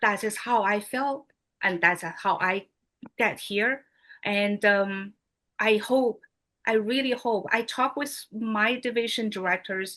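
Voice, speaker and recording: Speaking at a very slow pace with a non-native accent, a woman uses a fairly high pitch, ordinary pitch variation and a bright, sharp tone. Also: quiet background. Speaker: motivational speaker, regional advisor. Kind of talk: motivational speech.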